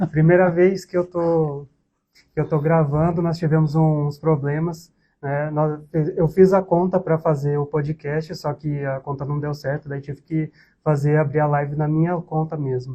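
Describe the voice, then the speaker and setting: Speaking at a fairly slow pace, a man delivers his lines in a fairly high pitch with monotone, flat intonation. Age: 20s. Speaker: podcast co-host, accounting student, civil servant. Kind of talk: casual chat.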